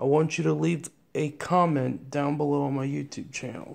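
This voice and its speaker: Fairly slow delivery from a man. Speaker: vlogger. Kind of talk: casual vlog chat. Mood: hesitant, slightly nervous. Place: home room. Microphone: phone near.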